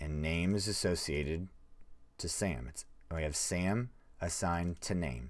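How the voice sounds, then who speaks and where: Very slow speech with ordinary pitch variation on a very clean recording with a silent background. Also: man. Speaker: programming teacher. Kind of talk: live-stream coding tutorial. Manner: casual, conversational.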